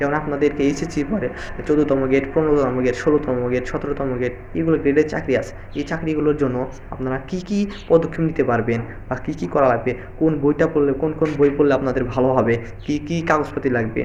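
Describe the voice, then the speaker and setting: Fairly high-pitched male speech with fairly even intonation over noticeable background noise. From Bangladesh. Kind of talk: casual career advice talk to camera.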